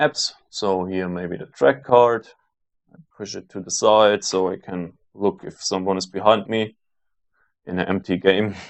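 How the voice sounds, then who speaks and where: A man with a German accent, fairly low pitch, ordinary pitch variation, a fairly slow pace and long, frequent pauses. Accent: German accent, trying to reduce it. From Germany. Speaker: sim racing video creator. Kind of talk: gameplay commentary. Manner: hesitant, many fillers.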